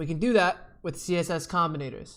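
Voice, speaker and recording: A man talks in a room with audible echo, his pitch varying in an ordinary way. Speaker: computer science teacher. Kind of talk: lecture. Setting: looking at the camera. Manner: fast.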